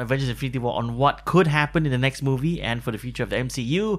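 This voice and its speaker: Over noticeable background noise, a man speaks fairly quickly with a fairly high pitch and lively intonation. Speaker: podcast host. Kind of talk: casual chat.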